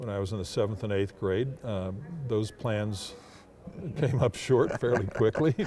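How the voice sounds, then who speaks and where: A man speaks in a plain, everyday voice at a fairly slow pace. His pitch is fairly low, with ordinary variation. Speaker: public address announcer. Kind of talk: interview answer.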